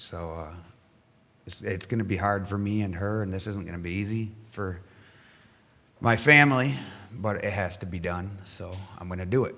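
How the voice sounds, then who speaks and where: A man with an American accent at a moderate pace, fairly low in pitch with a bright, sharp tone, ordinary pitch variation, long, frequent pauses and audible room echo. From Michigan, US Midwest. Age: 40s. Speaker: church member giving testimony. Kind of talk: testimony. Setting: church. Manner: halting.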